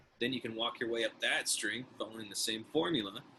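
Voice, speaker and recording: Noticeable background noise fills the recording. Over it, a man talks fairly quickly. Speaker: music teacher. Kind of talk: tutorial.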